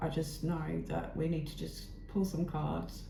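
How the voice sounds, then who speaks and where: A woman speaks at a fairly slow pace in a very deep, low voice, with audible room echo and noticeable background noise. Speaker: tarot reader. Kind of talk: tarot reading.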